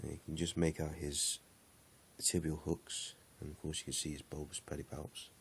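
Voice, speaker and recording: A man's very deep, low voice, somewhat breathy, at a moderate pace with monotone, flat intonation. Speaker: tarantula keeper. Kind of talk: casual talk to camera.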